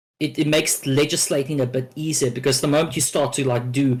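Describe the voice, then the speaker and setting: Somewhat breathy, a man speaks at a fairly quick pace and a medium pitch with ordinary pitch variation. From South Africa, moved to Australia at twelve. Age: 20s. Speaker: panel guest. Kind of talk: panel discussion. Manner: halting, many fillers.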